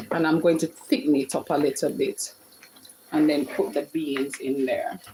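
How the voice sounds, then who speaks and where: A woman speaks with a Jamaican accent over noticeable background noise. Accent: Jamaican, with patois. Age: 40s. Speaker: home cook livestreamer. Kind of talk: live cooking stream chatting with viewers. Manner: animated.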